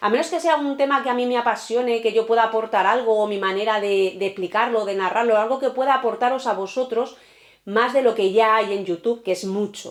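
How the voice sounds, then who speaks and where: A woman's animated voice, fairly high-pitched, at a fairly quick pace with ordinary pitch variation. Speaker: true crime youtuber. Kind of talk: casual chat to camera. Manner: fast.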